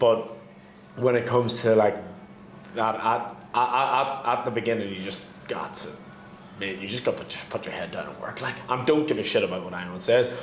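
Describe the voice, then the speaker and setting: A man with a Northern Irish accent speaks at a fairly quick pace and medium pitch with ordinary pitch variation, taking long, frequent pauses amid audible room echo and noticeable background noise. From Northern Ireland. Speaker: real estate broker. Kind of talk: casual chat.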